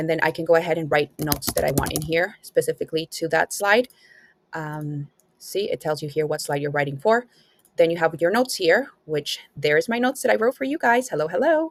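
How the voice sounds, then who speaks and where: Speaking at a fairly quick pace with lively intonation, a woman with a non-native accent uses a fairly low pitch, recorded with a dry, close sound and no echo. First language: not English. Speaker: student app reviewer. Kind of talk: tutorial. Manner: hesitant, many fillers.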